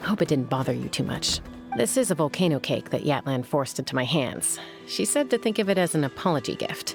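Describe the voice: A woman uses a put-on character voice, low-pitched with vocal fry and big pitch swings. She talks at a fairly quick pace over faint background music.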